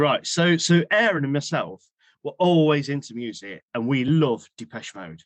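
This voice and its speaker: With a British accent, a man speaks at a fairly high pitch and a moderate pace, his intonation lively. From English Midlands. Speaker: singer and plumber. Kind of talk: podcast interview.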